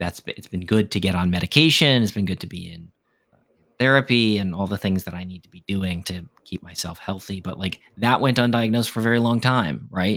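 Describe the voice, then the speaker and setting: A man with an American accent and a normal speaking voice talks at a fairly quick pace in a fairly low voice, with ordinary pitch variation and big swings in loudness, in a dry, close sound with no echo on a very clean recording with a silent background. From US Midwest, Chicago suburbs and Wisconsin. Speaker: podcast guest sharing life story. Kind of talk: casual chat.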